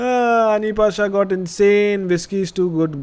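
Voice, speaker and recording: Speaking at a fairly slow pace is a man. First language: Indian language, not English. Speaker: podcast host. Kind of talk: live stream chat and story reading.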